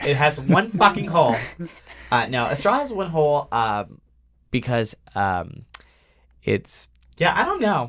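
In an American accent with vocal fry, the speaker swings very widely in pitch at a fairly slow pace with long, frequent pauses, on a very clean recording with a silent background. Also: man, fairly high pitch for a man. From rural Texas. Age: 20s. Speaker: dating show contestant. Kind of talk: casual chat. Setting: studio.

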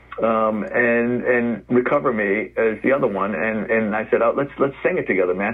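Over noticeable background noise, a man talks at a moderate pace in a medium pitch with ordinary pitch variation. He leaves hardly any pauses. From New York City, the Bronx. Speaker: rock musician and addiction recovery counselor. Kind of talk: interview. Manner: halting, many repeated words.

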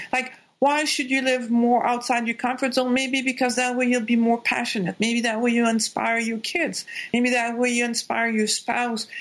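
A woman speaks at a high pitch and moderate pace, with very even loudness and monotone, flat intonation. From Quebec. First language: French. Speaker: doctor and life coach. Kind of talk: interview.

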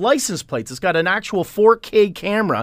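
Here is a man with a Canadian accent and a high pitch for a man. His intonation is lively and his pace moderate. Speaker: tech columnist and marketing company CEO. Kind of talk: casual radio chat. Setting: radio studio.

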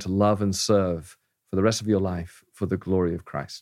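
A man with an English accent speaks in a fairly low voice with fairly even intonation. The recording is very clean, with a silent background. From England. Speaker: pastor. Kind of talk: casual interview.

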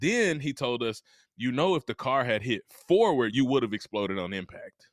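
A man with a Mississippi accent speaks in an animated tone at medium pitch and moderate pace, the sound dry and close with no echo. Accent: Southern US (Mississippi). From US South. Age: 30s. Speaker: motivational speaker. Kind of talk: casual interview.

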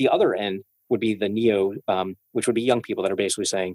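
A man with a plain, everyday voice, fairly low in pitch, at a fairly quick pace, dry and close with no echo. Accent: American. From US, Brooklyn, New York (Coney Island). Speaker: venture capital investor. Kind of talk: casual interview.

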